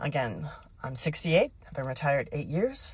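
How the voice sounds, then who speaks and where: A woman with a very deep, low pitch, somewhat breathy, with ordinary pitch variation. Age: 60s. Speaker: retiree vlogger. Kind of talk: casual direct-to-camera talk. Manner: conversational with frequent fillers.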